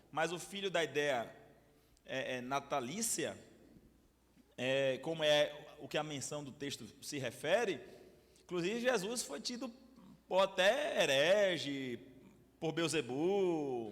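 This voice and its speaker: A man speaks at a very slow pace with long, frequent pauses, his fairly high voice swinging widely in loudness against audible room echo. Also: lively intonation. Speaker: pastor. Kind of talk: bible study lecture. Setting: church with audience. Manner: animated, hesitant repetitions.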